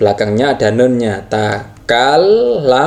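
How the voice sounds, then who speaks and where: A man speaking at a very slow pace, with very wide pitch swings. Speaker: Arabic grammar teacher. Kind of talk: tutorial. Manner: halting, with fillers.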